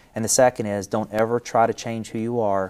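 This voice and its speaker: With a West Virginia accent, a man talks at a fairly quick pace in a fairly low pitch and monotone, flat intonation. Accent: West Virginia accent, kept. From West Virginia (Wayne County). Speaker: company CEO. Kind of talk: interview.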